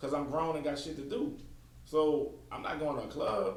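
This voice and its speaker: The man's speech carries audible room echo, and noticeable background noise is present too. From New Orleans, Louisiana. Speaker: podcast host. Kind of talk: casual chat.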